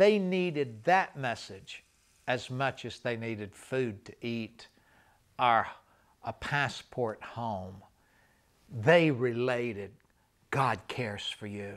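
Against a quiet background, a man speaks at a very slow pace with lively intonation and long, frequent pauses. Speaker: evangelist recounting travels. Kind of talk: interview answer, storytelling. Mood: warm, smiling, emotional. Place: studio.

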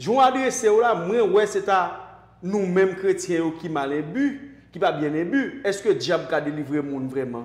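A man with a Haitian accent speaks at a fairly slow pace in a high voice, his intonation lively, with audible echo in the room. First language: Haitian Creole (speaking French). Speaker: online show host; talk show guest or host. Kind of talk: interview. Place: studio. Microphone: lapel.

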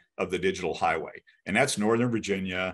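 A man's fairly low voice with ordinary pitch variation over a quiet background. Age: 50s. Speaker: tech company CEO. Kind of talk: interview. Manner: hesitant, many fillers and repetitions. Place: home room. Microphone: video call.

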